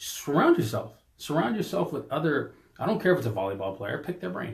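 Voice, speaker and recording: A man talks at a fairly quick pace in an animated tone. Vocal fry runs through his voice. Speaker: podcast co-host, business coach. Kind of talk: casual podcast chat. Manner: loud.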